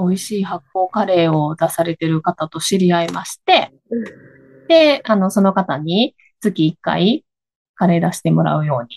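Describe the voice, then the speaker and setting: In a Kansai accent, a woman of medium pitch speaks somewhat breathily with lively intonation, the sound dry and close with no echo. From Higashiosaka, Kansai. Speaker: coffee bean shop owner. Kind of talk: casual chat. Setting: video call.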